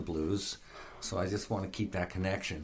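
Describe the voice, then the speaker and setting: Very deep and low in pitch, a man's somewhat breathy voice moves with ordinary pitch variation. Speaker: guitarist and music producer. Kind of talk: casual interview chat.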